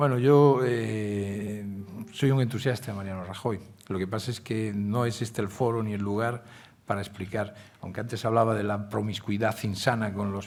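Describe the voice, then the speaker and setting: A man talks with fairly even intonation. There is audible echo in the room. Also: fairly low pitch for a man, moderate pace. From Galicia, Spain. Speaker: newspaper editor. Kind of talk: Q&A at a public forum. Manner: hesitant fillers.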